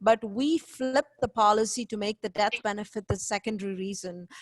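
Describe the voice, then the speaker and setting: An unremarkable speaking voice with ordinary pitch variation comes across dry and close with no echo, over a quiet background. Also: woman. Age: 40s. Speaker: investment educator. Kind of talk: webinar presentation.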